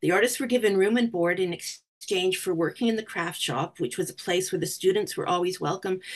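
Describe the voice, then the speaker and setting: With a Canadian accent, a woman speaks at a medium pitch in an unremarkable speaking voice against a quiet background. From Canada. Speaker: museum curator and historian; guest lecturer. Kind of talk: presentation. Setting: video call. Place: home room. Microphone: webcam.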